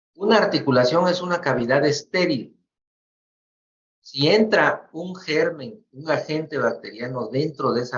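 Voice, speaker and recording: In a somewhat breathy voice, this man talks at a fairly slow pace. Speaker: medical professor. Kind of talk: lecture.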